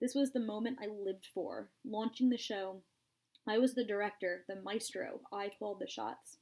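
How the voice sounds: Ordinary pitch variation in a natural reading voice, quiet background behind it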